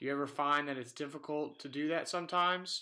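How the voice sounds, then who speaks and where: Here a man speaks at a fairly high pitch with a bright, sharp tone. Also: very clean recording, silent background. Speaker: radio host. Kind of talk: interview.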